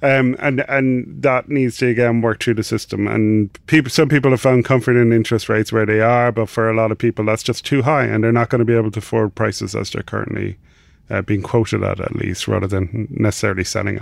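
With an Irish accent, a man talks at a very fast pace with hardly any pauses and fairly even intonation. The background is quiet. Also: medium pitch for a man. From Ireland. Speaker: financial journalist. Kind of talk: casual chat.

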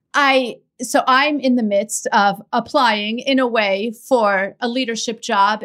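A woman's plain, everyday voice at a fairly high pitch with ordinary pitch variation, on a very clean recording with a silent background. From Iran, raised in US. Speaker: podcast host and prosecutor. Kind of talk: casual chat; scripted narration.

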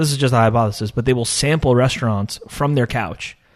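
An unremarkable speaking voice from a man, medium in pitch with ordinary pitch variation, over a quiet background. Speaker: tech startup founder. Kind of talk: interview.

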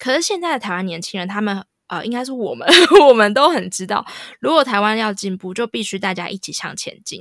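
A woman's fairly high, lively voice, fairly quick in pace, an ordinary speaking voice. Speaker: podcast host. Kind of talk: casual chat.

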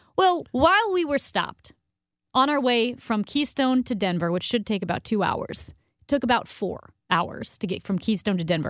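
A woman at a fairly high pitch and moderate pace, with very wide pitch swings, in a dry, close sound with no echo and a very clean recording with a silent background. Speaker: radio host. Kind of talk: casual chat.

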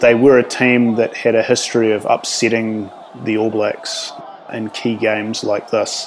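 Amid noticeable background noise, a man with a New Zealand accent speaks with monotone, flat intonation. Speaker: rugby writer. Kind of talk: storytelling interview. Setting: remote call.

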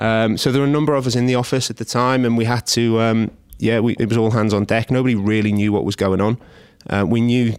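This man talks with a Scouse accent and fairly even intonation. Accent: Scouse (Liverpool) English. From Liverpool, England. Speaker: head of trading at a broker. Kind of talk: interview. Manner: halting, many fillers.

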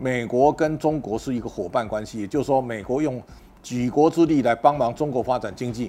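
A man talks at a fairly quick pace, his medium pitch carrying a dark, mellow tone. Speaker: political and economic commentator. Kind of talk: solo commentary monologue. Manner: halting, with repeated words and fillers.

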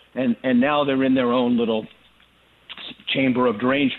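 Speaking at a fairly quick pace, the man has a medium pitch. His pitch variation is ordinary. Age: 50s. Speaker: former philosophy professor. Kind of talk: interview.

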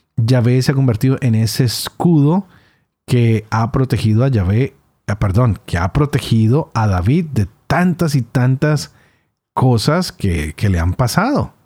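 A man of medium pitch speaks slowly-ish at a fairly slow pace, his somewhat breathy voice dark and mellow in tone, with lively intonation and very even loudness, on a very clean, dry, close recording with no echo and a silent background. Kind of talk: scripture reading aloud; reflection and commentary.

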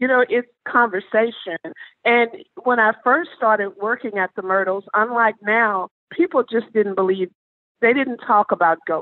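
In a Southern US accent, a woman speaks at a fairly high pitch. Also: ordinary pitch variation, moderate pace, very even loudness. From US South, Mississippi. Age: 60s. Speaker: haunted property ambassador. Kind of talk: interview storytelling.

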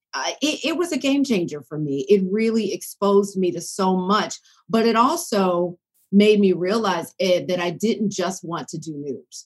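Speaking with an American accent, a woman with a normal speaking voice uses lively intonation and medium pitch at a moderate pace. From US South, Decatur near Atlanta, Georgia. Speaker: broadcast journalist. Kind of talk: interview conversation.

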